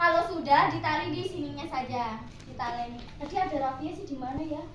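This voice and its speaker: A woman talks at a very fast pace in a high voice with ordinary pitch variation and big swings in loudness. Noticeable background noise and audible room echo are present. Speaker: agricultural extension worker. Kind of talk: practical demonstration to farmers. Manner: animated.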